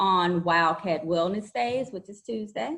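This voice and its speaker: With a Louisiana accent, a woman speaks at a fairly slow pace in a medium pitch. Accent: Louisiana Southern. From Louisiana, US South. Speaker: school counselor. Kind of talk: informal video introduction to students. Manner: friendly, hesitant with fillers.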